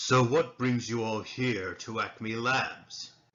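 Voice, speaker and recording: A put-on character voice delivered at a very slow pace. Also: man, medium pitch for a man. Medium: machinima.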